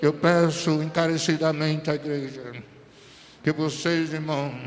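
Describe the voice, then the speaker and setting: The intonation stays fairly even. Noticeable background noise and audible room echo are present. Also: man. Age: 70s. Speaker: pastor. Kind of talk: sermon.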